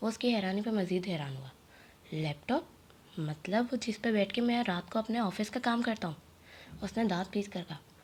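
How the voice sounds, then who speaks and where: A woman speaks at a medium pitch with lively intonation and a somewhat breathy voice. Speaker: audiobook narrator. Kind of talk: novel reading.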